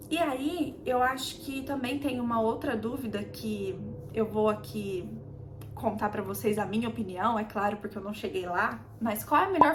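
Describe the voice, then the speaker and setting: Her fairly high voice comes with audible room echo and noticeable background noise as the woman speaks. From Brazil. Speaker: immigrant vlogger. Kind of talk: casual chat. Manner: conversational, with hesitations.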